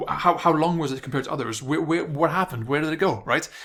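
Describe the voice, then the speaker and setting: A man mumbles at a very fast pace. His pitch is fairly high, with ordinary pitch variation. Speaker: online marketing coach. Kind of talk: video tutorial monologue. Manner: mumbling, stuttering.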